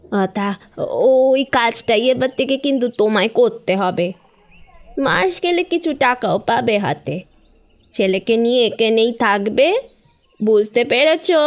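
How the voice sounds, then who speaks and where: A woman speaks in a put-on character voice, rumbling yet fairly high-pitched, with lively intonation at a fairly slow pace. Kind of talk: dramatic audio story acting. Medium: audio drama. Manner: scolding, grumbling, imperious.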